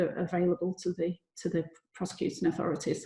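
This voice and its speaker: At a fairly quick pace, the speaker talks in a somewhat breathy voice with a Lancashire accent. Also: woman. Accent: Bolton accent, noticeable. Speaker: lawyer presenting a seminar. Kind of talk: seminar presentation. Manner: repeats words, some hesitations.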